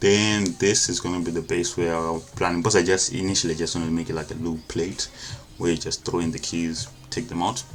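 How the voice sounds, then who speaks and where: Over music in the background, a man with a non-native accent speaks at a fairly quick pace in a very deep, low pitch. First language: not English. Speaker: engineering design tutor. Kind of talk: tutorial. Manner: casual, halting with self-corrections.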